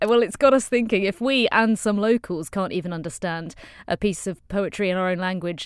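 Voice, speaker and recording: Speaking at a fairly quick pace with lively intonation, a woman with an unremarkable speaking voice at medium pitch comes through on a very clean recording against a silent background. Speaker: news podcast host. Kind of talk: news roundup presenting.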